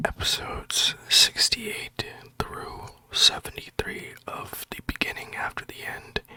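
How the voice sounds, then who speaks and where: Whispering at a fairly slow pace, a man swings widely in loudness against noticeable background noise. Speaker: ASMR storyteller. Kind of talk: casual talk to camera. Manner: whispered.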